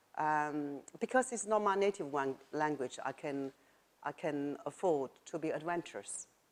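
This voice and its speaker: This woman has a very deep, low pitch and lively intonation. She speaks at a fairly slow pace with a Chinese accent. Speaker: writer and former journalist. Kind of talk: interview. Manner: halting.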